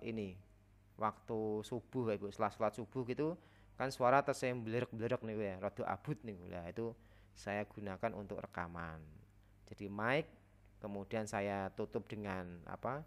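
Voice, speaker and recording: A man with a fairly low pitch talks at a moderate pace, his pitch variation ordinary. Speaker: teacher and workshop trainer. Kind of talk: online workshop tutorial. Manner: hesitant, many filler sounds.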